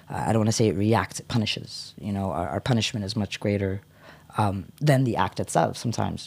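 A man with an American accent, a normal speaking voice, ordinary pitch variation, and a fairly quick pace. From United States. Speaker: poet and cultural activist. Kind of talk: poetry reading; casual chat. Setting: studio.

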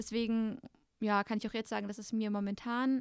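A woman speaks at a moderate pace. The recording is very clean with a silent background, and the sound is dry and close with no echo. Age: 20s. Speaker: former eating disorder patient. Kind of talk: casual chat.

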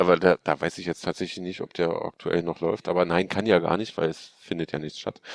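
A man with a very deep, low voice talks at a fairly quick pace in a monotone, flat intonation. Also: dry, close sound with no echo. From Hanover, northern Germany. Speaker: cosplayer. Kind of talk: casual chat.

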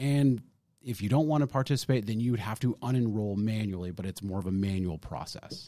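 This man has an unremarkable speaking voice with a fairly low pitch. He talks at a fairly quick pace with ordinary pitch variation. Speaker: financial advisor podcast host. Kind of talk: casual educational chat about retirement law.

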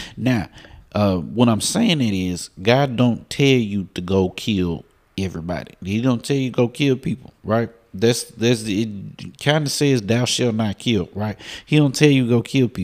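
On a very clean recording with a silent background, a man at medium pitch talks at a fairly slow pace in an animated tone with ordinary pitch variation. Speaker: preacher. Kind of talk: sermon. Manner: animated, call-and-response; repetitive, emphatic.

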